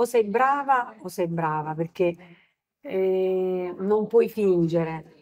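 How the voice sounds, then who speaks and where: A woman with a mid-range voice talks very slowly, her intonation lively. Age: middle-aged. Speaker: singer. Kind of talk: interview. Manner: soft-spoken.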